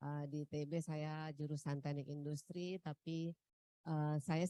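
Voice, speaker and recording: Speaking at a fairly slow pace in a North Sumatran accent, a woman with a very deep, low pitch uses fairly even intonation and a dark, mellow tone, captured with a dry, close sound with no echo. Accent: Batak-flavoured Indonesian. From North Sumatra, Pematangsiantar. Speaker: tax office head. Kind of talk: opening speech. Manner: hesitant, many fillers.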